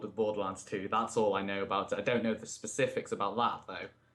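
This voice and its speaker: A man's voice is heard while music plays behind it. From northwest England, Chester. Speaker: podcast host. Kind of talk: casual chat. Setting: live stream.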